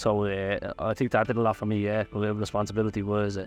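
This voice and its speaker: Over music in the background, a man with an Irish accent speaks in a fairly low pitch with monotone, flat intonation. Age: 20s. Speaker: volunteer. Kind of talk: interview testimony.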